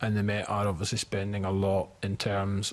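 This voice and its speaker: A man speaks with a fairly low pitch at a fairly quick pace. His intonation is flat and monotone over a quiet background. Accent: Scottish. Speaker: committee witness on policing. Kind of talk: committee hearing testimony.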